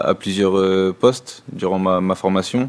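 In a monotone, flat intonation, a man speaks at a fairly slow pace. His pitch is fairly low. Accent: French. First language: French (speaking German). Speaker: football player. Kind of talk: press conference. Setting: press room. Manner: halting.

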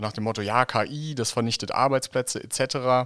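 A plain, everyday voice from a man, medium in pitch with ordinary pitch variation, at a fairly quick pace, in a very clean recording with a silent background and a dry, close sound with no echo. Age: 40s. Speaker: podcast host, nonprofit director. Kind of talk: interview.

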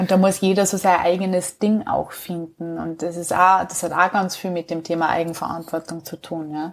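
In a Salzburg accent, a woman speaks at a fairly low pitch. Her intonation is monotone and flat, with hardly any pauses. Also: moderate pace. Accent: Austrian Bavarian (Salzburg). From Austria, southern Salzburg. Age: 30s. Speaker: herbal educator and nutrition trainer. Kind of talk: casual interview.

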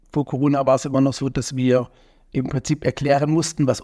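The words rush out very fast. The recording is dry and close, without any echo. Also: man. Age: 40s. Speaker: entrepreneur, event organizer. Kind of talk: interview.

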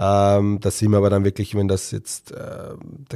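Fairly low in pitch with a dark, mellow tone, a man speaks at a fairly slow pace. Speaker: sports physiotherapist, podcast host. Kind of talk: solo educational podcast talk. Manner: hesitant, many filler sounds.

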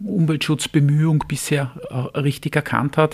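Recorded with a dry, close sound and no echo, a man speaks at a moderate pace. He has an unremarkable speaking voice at a fairly high pitch. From Austria, Vienna. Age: 40s. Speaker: labour market agency head. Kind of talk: interview.

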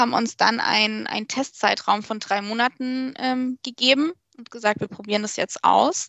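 Speaking at a moderate pace in a normal speaking voice, a woman has a fairly high pitch and ordinary pitch variation. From Germany, Portuguese family. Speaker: social media manager. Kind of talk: podcast interview.

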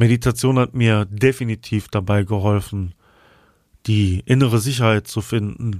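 Calm and soothing in tone, a man speaks at a fairly low pitch with fairly even intonation in a very clean recording with a silent background. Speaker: podcast host and flute player. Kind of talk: guided meditation. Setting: studio with flute music in background. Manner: slow, soothing, calm; soft-spoken, gentle.

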